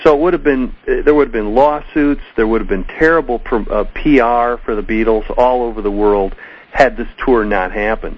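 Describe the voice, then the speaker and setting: A normal speaking voice at a moderate pace with ordinary pitch variation. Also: man, medium pitch for a man. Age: 50s. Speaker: music historian and author. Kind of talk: interview.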